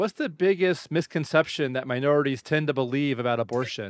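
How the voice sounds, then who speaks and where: A man with an ordinary speaking voice talks at a fairly high pitch with lively intonation. The recording is very clean, with a silent background, and the sound is dry and close, with no echo. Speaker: podcast host. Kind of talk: interview.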